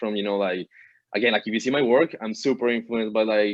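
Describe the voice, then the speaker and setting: Speaking at a very fast pace with a Colombian accent, a man keeps a medium pitch and fairly even intonation. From Colombia, Bogota. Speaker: digital artist. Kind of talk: interview. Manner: casual, filler-heavy.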